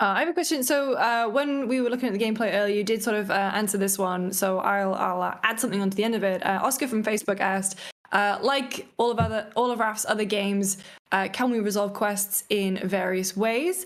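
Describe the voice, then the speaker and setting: Speaking in a British accent, a woman uses a medium pitch. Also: ordinary pitch variation, fairly quick pace, very even loudness. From Britain. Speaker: livestream host. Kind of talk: livestream interview.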